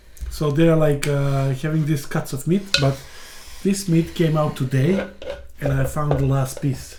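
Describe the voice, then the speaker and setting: Her pitch is very deep and low, with ordinary variation. The woman speaks with a non-native accent. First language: not English. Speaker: mukbang vlogger. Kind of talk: casual chat while eating.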